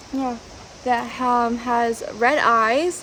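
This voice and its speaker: A woman speaks loudly in a high voice with fairly even intonation. There is noticeable background noise. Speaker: vlogger. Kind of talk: travel vlog narration. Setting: outdoors. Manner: hesitant, many fillers.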